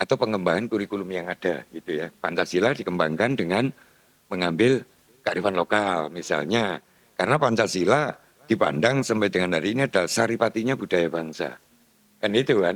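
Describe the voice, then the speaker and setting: A plain, everyday voice talks at a fairly quick pace with ordinary pitch variation. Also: man, fairly low pitch for a man. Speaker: speaker on local culture. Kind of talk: discussion forum talk. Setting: meeting room.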